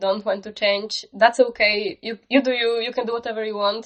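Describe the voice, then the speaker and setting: A woman talks with a non-native accent. Her intonation stays monotone and flat. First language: not English. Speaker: digital art YouTuber. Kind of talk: tutorial. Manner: casual.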